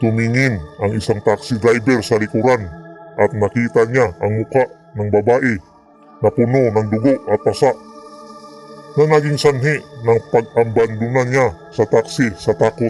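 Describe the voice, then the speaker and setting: With faint music in the background, a man uses a put-on character voice at medium pitch and a fairly slow pace. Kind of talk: horror narration. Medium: read story. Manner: steady, explanatory.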